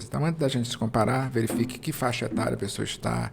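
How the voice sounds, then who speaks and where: A medium-pitched man talks fairly fast while background noise is clearly present. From Brazil, interior of Maranhão. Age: 50s. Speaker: entrepreneur. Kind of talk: interview. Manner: calm, serene.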